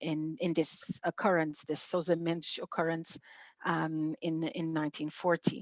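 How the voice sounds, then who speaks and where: In a normal speaking voice, a woman talks at a fairly low pitch and a fairly slow pace, sounding dry and close with no echo against a quiet background. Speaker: museum coordinator. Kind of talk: interview host.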